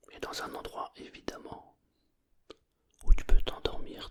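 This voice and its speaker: Someone is whispering. The pace is very slow. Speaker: hypnotherapist. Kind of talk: sleep hypnosis. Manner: whispered.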